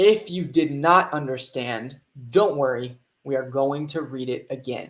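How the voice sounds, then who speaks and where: In an American accent, the speaker talks at a fairly slow pace. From United States. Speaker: English teacher. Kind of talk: reading aloud; live online class. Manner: slow, clear for learners.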